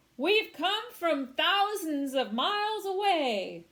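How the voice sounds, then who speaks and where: In a put-on character voice, a woman speaks very slowly at an extremely high pitch. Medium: read story. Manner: cheeky.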